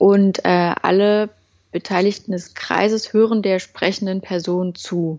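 A woman speaks at a very slow pace and medium pitch. Her intonation stays monotone and flat. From eastern Germany, Halle an der Saale. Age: 20s. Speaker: communication workshop leader. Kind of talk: casual interview.

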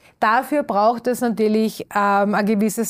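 A woman speaks with an unremarkable speaking voice at a fairly high pitch and moderate pace. The recording is very clean, with a silent background. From Upper Austria. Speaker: circular economy expert. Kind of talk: interview. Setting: studio.

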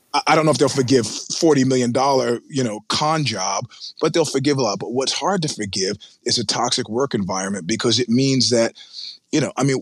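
A man speaks in a normal speaking voice at a medium pitch, with ordinary pitch variation and a fairly quick pace. The sound is dry and close, with no echo. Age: 50s. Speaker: media editor. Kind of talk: interview.

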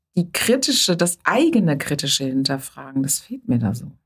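A woman speaks in a somewhat breathy voice. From Germany, Rhineland near Bonn. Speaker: psychotherapist and physician. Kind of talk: interview conversation.

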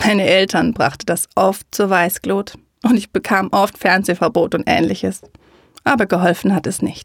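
An unremarkable speaking voice from a woman at medium pitch, fairly even in intonation and very even in loudness, at a moderate pace with a dry, close sound free of echo. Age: 30s. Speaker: podcaster and educator on high sensitivity. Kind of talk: personal storytelling monologue.

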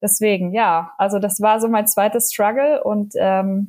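Somewhat breathy, a woman talks at a moderate pace in a medium pitch with fairly even intonation. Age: 30s. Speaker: mother of two sharing postpartum experience. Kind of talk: casual interview chat. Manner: hesitant, many filler sounds.

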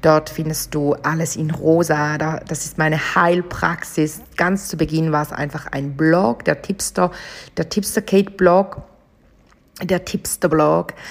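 Speaking very slowly, a woman uses a very deep, low pitch and fairly even intonation. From Switzerland, St. Gallen. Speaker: podcast host, chakra coach. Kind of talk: casual monologue.

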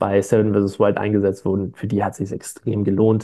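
This man talks at a fairly quick pace. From Stuttgart, Swabia, Germany. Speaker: online shop founder. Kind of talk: casual interview. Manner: hesitant, many fillers.

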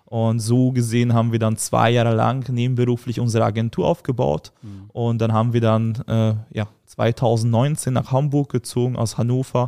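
In a Hungarian accent, the speaker has a dark, mellow tone, a moderate pace, fairly even intonation and hardly any pauses. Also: man, medium pitch for a man. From Hungary. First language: Hungarian (speaking German). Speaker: agency founder and CEO. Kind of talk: casual interview.

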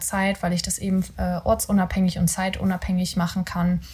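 The voice has a somewhat breathy quality. It belongs to a woman. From Rhineland, Germany (near Cologne). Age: 20s. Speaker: podcast co-host, virtual assistant. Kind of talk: casual chat. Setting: home bedroom recording.

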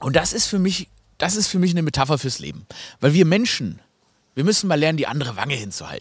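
On a very clean recording with a silent background, a man with a fairly high pitch talks fairly quickly in an animated tone with lively intonation. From Swabia, Germany. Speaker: podcast host. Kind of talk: casual comedic chat.

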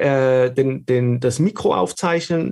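Slightly marked by a Swiss German accent, a man speaks at a fairly high pitch with ordinary pitch variation. His voice is somewhat breathy. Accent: slight Swiss German. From Switzerland. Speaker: video studio consultant and filmmaker. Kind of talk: casual interview. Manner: halting, repeats words.

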